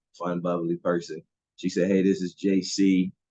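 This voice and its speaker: The recording is dry and close with no echo, carrying a man's very deep, low voice. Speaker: college athletics administrator. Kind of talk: mentoring talk on a video call. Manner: fast; casual, many filler words.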